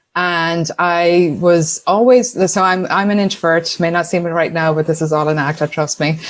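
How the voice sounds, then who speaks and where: A woman with an Irish accent, a fairly low pitch and ordinary pitch variation, over noticeable background noise. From Ireland, Tuam, County Galway. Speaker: entrepreneur, sponsorship consultant. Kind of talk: podcast interview.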